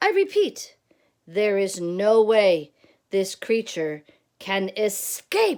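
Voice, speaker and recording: This is a put-on character voice, female-sounding and squeaky at a medium pitch for a woman. It moves at a very slow pace on a very clean recording with a silent background. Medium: read story.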